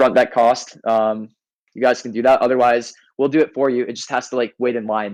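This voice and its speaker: Intonation is monotone and flat, at a fairly quick pace. The background is quiet. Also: man, medium pitch for a man. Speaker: NFT game team member. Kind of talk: community AMA voice chat. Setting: Discord voice call. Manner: fast.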